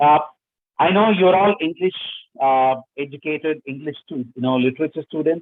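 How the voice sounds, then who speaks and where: Here a man with a fairly high pitch speaks with ordinary pitch variation. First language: not English. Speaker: workshop speaker on research writing. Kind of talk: lecture. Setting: webinar. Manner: halting, many fillers.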